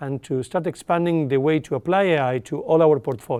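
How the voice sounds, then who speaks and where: With an Argentine accent, a fairly high-pitched man speaks at a moderate pace using ordinary pitch variation. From Argentina. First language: Spanish. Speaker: tech company executive. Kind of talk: interview.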